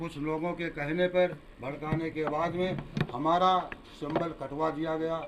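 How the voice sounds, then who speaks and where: A man's fairly high-pitched, monotone voice with flat intonation over noticeable background noise. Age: 70s. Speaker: local politician, former town council chairman. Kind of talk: press interview.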